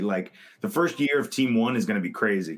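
A man with a plain, everyday voice, medium in pitch, at a fairly quick pace. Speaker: fantasy football podcast co-host. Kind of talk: casual chat, mock draft.

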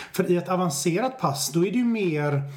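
Male speech carrying audible room echo, with noticeable background noise. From Swedish west coast, Stenungsund. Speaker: business researcher and author. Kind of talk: podcast interview.

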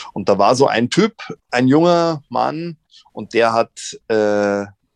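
Here is an unremarkable speaking voice with ordinary pitch variation. The background is quiet, and the sound is dry and close, with no echo. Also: man. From Munich, Bavaria. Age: 50s. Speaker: actor and comedian. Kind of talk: casual interview. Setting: virtual studio.

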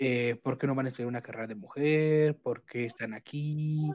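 At a fairly slow pace, a man speaks at medium pitch in a plain, everyday voice. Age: 20s. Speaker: guest. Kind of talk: casual chat.

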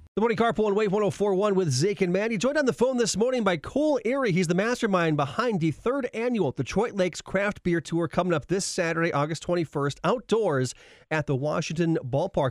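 Upbeat in tone, a man talks at a fairly quick pace with hardly any pauses, high pitch, lively intonation and very even loudness. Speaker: radio host. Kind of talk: radio dj patter. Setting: studio. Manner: upbeat, bantering; quick, punchy station-promo delivery.

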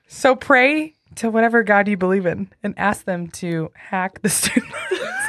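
A woman with a normal speaking voice talks at a moderate pace in a medium pitch with lively intonation. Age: 30s. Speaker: podcast host. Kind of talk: casual chat.

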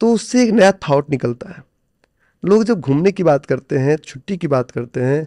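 The recording is dry and close, without any echo. The man's intonation is lively. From India, Bihar (village Noni). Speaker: stock trader and coach. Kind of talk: interview.

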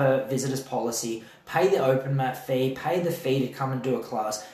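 The speaker has an Australian accent and a fairly quick pace with ordinary pitch variation. Background noise is noticeable. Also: man. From Adelaide, South Australia. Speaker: jiu-jitsu athlete and event organizer. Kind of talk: casual chat.

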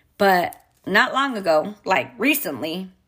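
The voice has a bright, sharp tone, an animated delivery, and very wide pitch swings. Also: woman. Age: 30s. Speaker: podcast host and mother. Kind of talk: casual monologue.

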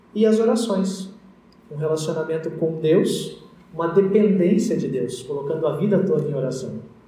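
A man speaks at a fairly slow pace, his voice high-pitched with ordinary pitch variation. The room echo is audible, and there's noticeable background noise. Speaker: pastor. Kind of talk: sermon.

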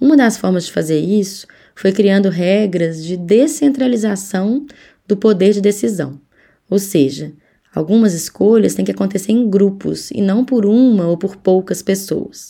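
A woman's medium-pitched voice, dark and mellow in tone, at a fairly slow pace with lively intonation. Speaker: urban architect and researcher. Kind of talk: explaining to children.

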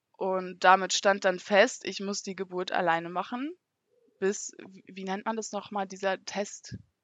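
A woman speaks in a normal speaking voice at a medium pitch and a fairly slow pace. Her intonation stays fairly even while her loudness swings widely. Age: 20s. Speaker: mother sharing birth experience. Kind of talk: testimony.

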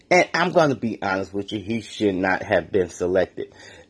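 Against a quiet background, a man with a normal speaking voice talks at a fairly low pitch with lively intonation. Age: 40s. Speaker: sports and pop culture podcaster. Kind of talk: casual solo podcast monologue.

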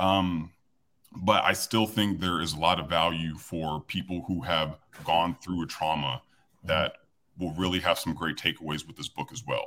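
At a moderate pace, a man speaks with fairly even intonation. His pitch is very deep and low. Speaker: author and former pro football player. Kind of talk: interview. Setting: video call.

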